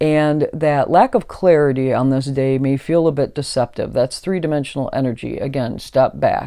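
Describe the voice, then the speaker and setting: On a very clean recording with a silent background, a woman speaks in a very deep, low pitch with a dark, mellow tone. She keeps a moderate pace, fairly even intonation and hardly any pauses. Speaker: astrology channel host. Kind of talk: astrology forecast monologue. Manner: halting, many fillers and repeats.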